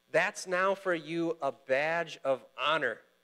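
The background is quiet as a man speaks at a high pitch. His pitch varies in an ordinary way. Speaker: pastor. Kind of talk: sermon. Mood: warm, encouraging. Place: church. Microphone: lapel.

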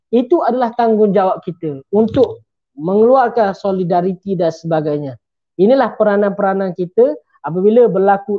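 A man's high-pitched voice with ordinary pitch variation, a moderate pace and a quiet background. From Kelantan, Malaysia; Malaysia. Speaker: medical graduate and religious speaker; speaker. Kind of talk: religious book talk. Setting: live stream. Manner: formal. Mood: friendly, smiling. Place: home room. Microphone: video call.

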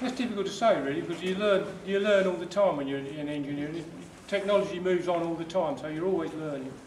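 Amid light background noise and audible room echo, a man talks very fast at a high pitch with ordinary pitch variation. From southern England. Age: 60s. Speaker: retired engineer. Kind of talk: interview answering student questions. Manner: halting. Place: hall. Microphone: camera far.

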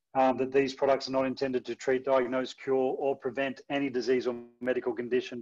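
Against a quiet background, a man talks at a fairly quick pace in a fairly high pitch. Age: 50s. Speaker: former athlete sharing testimony; presenter. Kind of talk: testimony. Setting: video call. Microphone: video call.

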